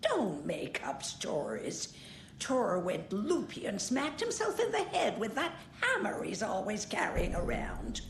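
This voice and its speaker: Using a put-on character voice, a woman speaks at a fairly slow pace over clear background noise. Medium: video game.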